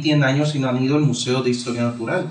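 Both audible room echo and noticeable background noise are present. The man's pitch varies in an ordinary way. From Mexico, Baja California Sur (Cabo San Lucas). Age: 20s. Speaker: historian and writer. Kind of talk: interview.

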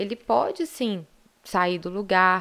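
This is a plain, everyday voice, showing ordinary pitch variation. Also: woman. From Minas Gerais, Brazil. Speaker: gynecologist and obstetrician. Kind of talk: interview, casual explanation.

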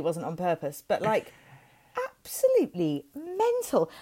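In a Welsh accent, a woman speaks at a fairly slow pace with long, frequent pauses. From Wales. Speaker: podcast co-host. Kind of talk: casual chat. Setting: at home, childhood bedroom.

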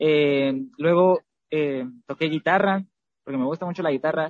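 A man with a high voice talks at a moderate speed, his pitch varying in an ordinary way. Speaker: singer in a vocal trio. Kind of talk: interview.

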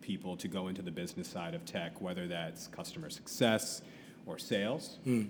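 A man with an American accent speaks at a moderate pace. His pitch is very deep and low, and room echo is audible. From US Midwest, Columbus, Ohio. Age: 30s. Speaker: educator. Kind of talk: casual interview chat. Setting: coffee shop.

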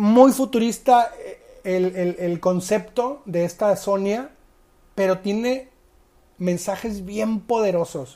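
A woman speaks very slowly in a Mexican accent with a dark, mellow tone and medium pitch. Her pitch varies in an ordinary way, and the recording is very clean with a silent background. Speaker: sports betting podcast host. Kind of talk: casual monologue. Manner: halting, repeats words.

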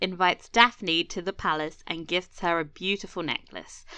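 A woman in a normal speaking voice, medium in pitch, at a fairly slow pace with hardly any pauses. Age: 30s. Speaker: podcast co-host. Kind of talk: casual chat.

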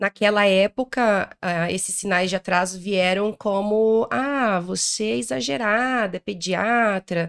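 Speaking at a very slow pace, a woman with a medium pitch and ordinary pitch variation is heard in a dry, close sound with no echo on a very clean recording with a silent background. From interior of Paraná, Brazil. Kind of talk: interview. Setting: event recording in Rio de Janeiro.

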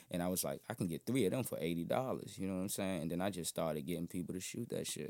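A man with an American accent talks very fast, with hardly any pauses, in a very deep, low voice with a dark, mellow tone. His pitch varies in an ordinary way, and the recording is very clean with a silent background. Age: 20s. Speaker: musician. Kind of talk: casual chat. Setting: studio.

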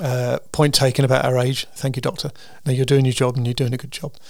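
Talking at a fast pace, a man speaks at medium pitch with vocal fry, a slightly mellow tone and little pitch movement.

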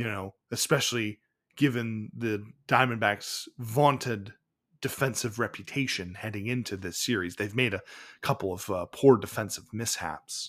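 A man's fairly low voice, a plain, everyday voice with ordinary pitch variation, at a moderate pace. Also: very clean recording, silent background. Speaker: baseball history podcast host. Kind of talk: narrated game recap podcast.

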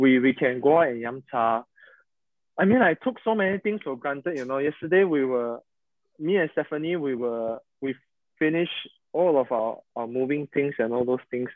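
The man's fairly high voice shows ordinary pitch variation and keeps a moderate pace. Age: 30s. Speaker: podcast host, pastor's son. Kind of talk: casual chat. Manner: halting.

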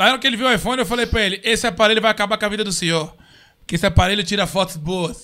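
High-pitched and bright, sharp in tone, a man talks at a very fast pace in a raised, projected voice with ordinary pitch variation, on a very clean recording with a silent background. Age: 30s. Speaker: podcast host. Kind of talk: casual chat. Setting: studio.

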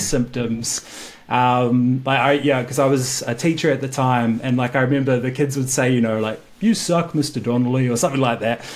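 With a New Zealand accent, a man talks at a moderate pace and fairly even intonation over noticeable background noise. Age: 20s. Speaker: podcast guest sharing infertility story. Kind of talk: casual interview conversation.

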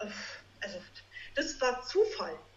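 There is audible room echo as a woman speaks in a high pitch. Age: 30s. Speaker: naturopath. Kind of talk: podcast interview.

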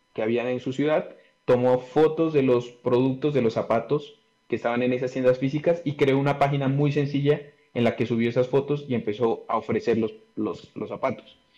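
His voice has a dark, mellow tone and a fairly high pitch. The man speaks at a moderate pace with fairly even intonation. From Colombia, Pasto (Nariño). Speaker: industrial engineer and business consultant. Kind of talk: interview.

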